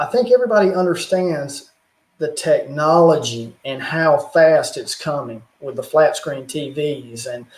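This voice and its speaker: Loudness swings widely as a man with a fairly high pitch talks at a fairly slow pace with lively intonation. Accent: Southern US. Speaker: YouTuber on religion and technology. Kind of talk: casual chat.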